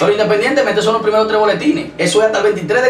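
A man's voice with ordinary pitch variation, light background noise and audible room echo. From Dominican Republic, Santo Domingo. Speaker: local political candidate. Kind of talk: TV interview. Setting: studio. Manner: halting. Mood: defensive, arguing his case. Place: studio.

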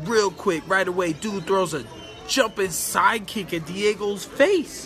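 Over clear music in the background, a man uses a raised, projected voice at a fairly slow pace with ordinary pitch variation. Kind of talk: casual vlog chat. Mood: amused, storytelling. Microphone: phone near.

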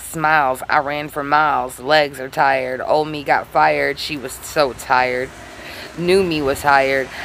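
A woman speaks in a very deep, low pitch with monotone, flat intonation. Her pace is fairly slow, and there is light background noise. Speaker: amateur poet vlogger. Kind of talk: slam poetry reading. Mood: raw, confessional, intense. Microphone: phone near.

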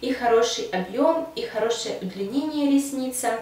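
The delivery is fairly slow with ordinary pitch variation. Audible room echo can be heard. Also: woman. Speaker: beauty vlogger. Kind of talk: product review monologue. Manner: enthusiastic. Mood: calm, pleased.

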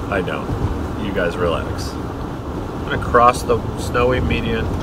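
A man speaks over loud background noise. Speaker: driver vlogger. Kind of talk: casual vlog chat. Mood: jokey, relaxed. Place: car. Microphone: camera far.

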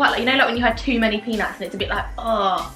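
Faint music plays in the background, and the room echo is audible. A woman speaks at a fairly high pitch. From British. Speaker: vlogger. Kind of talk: casual talk to camera. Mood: mildly disgusted, playful. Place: home room.

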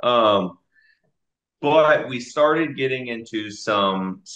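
Lively intonation over a quiet background, with audible room echo. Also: man. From Dallas, Texas. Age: 20s. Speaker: army drill sergeant and real estate investor. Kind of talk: interview answer. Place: home room. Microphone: video call.

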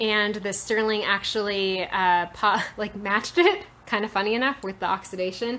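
At a moderate pace, a woman speaks in an unremarkable speaking voice of medium pitch with fairly even intonation. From rural Nevada, US West. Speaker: self-taught metalsmith. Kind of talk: live-stream tutorial. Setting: workshop, Instagram live video. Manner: casual, many filler words. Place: workshop. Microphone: phone near.

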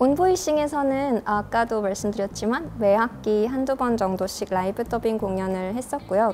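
A woman's fairly high voice at a moderate pace with hardly any pauses, over light background noise. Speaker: voice actor. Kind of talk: interview answer. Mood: warm, smiling. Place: classroom.

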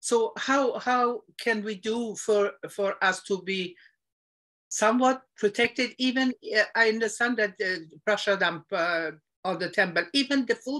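A woman speaks at a fairly slow pace with a fairly high pitch. The background is quiet. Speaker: devotee asking questions. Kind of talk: question in online religious class. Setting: video call. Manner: halting. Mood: hesitant, polite, apologetic. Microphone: video call.

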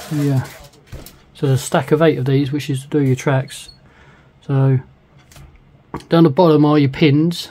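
Speaking with a British accent, a man uses a fairly high pitch in a somewhat breathy voice. His intonation is monotone and flat, broken by long, frequent pauses. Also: moderate pace. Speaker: scale model kit reviewer. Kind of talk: product review tutorial. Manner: casual, rambling.

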